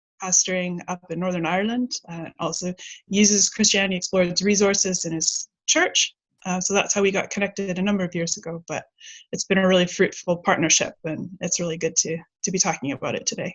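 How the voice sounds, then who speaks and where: This woman speaks at a fairly quick pace with a medium pitch, fairly even intonation and a somewhat breathy quality. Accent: Canadian. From Canada, Vancouver. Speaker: ministry operations manager. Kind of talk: casual interview. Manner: hesitant, many fillers.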